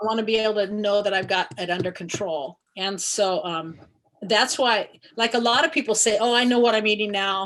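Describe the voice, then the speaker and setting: A woman's medium-pitched voice at a moderate pace with ordinary pitch variation. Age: 60s. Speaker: masters CrossFit athlete. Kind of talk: interview answer. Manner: casual, hesitant.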